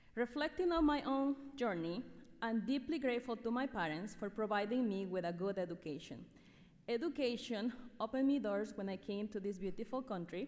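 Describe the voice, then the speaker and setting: The speaker has an Ecuadorian accent, a fairly quick pace and lively intonation. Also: woman, fairly high pitch for a woman. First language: Spanish. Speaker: teacher. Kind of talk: award speech. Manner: formal.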